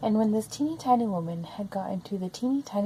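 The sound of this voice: Reading in an unforced voice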